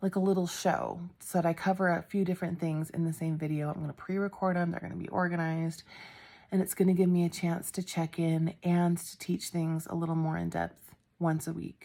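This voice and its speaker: A soft-spoken woman talks with a fairly low pitch and a dark, mellow tone. Her delivery has monotone, flat intonation. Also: fairly quick pace. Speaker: genealogy YouTuber. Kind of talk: casual vlog update. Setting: home at night, others asleep.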